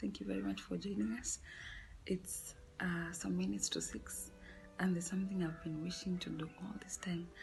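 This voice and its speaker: With music in the background, a woman whispers at a moderate pace. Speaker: cooking vlogger. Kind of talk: cooking tutorial vlog. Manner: whispering.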